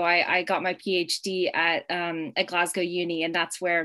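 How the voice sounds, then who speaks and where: A woman talks at a moderate pace, with the background quiet. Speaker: poet. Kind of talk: poetry reading. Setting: video call. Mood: friendly, a bit nervous. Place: home room. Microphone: webcam.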